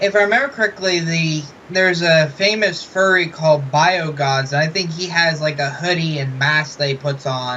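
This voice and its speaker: Mumbling, a man talks at a moderate pace with hardly any pauses. His pitch is fairly high with ordinary variation, over noticeable background noise. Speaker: interviewer. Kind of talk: interview.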